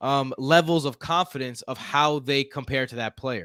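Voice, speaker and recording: In a dry, close recording with no echo, a man with a fairly high pitch speaks in an animated tone at a fairly slow pace. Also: very clean recording, silent background. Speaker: podcast host. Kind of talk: casual chat.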